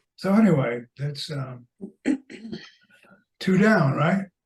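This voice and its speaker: A man's somewhat breathy voice at a very slow pace with very wide pitch swings. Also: long, frequent pauses. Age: 80s+. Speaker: poet. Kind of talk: casual chat.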